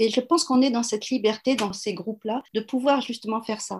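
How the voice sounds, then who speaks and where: A somewhat breathy woman's voice, fairly high in pitch. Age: 60s. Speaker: HR consultant and coach. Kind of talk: interview.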